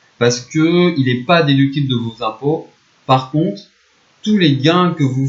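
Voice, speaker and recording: Somewhat breathy man's voice at medium pitch, fairly slow, with ordinary pitch variation. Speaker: economics teacher. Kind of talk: explainer video. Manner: casual, conversational.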